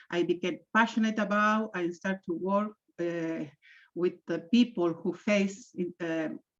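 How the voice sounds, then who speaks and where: A woman speaks in a strong Spanish accent at medium pitch. Her pitch variation is ordinary, and the background is quiet. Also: fairly slow pace. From Chile. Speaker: intercultural trainer and coach. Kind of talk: webinar presentation. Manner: halting, many fillers.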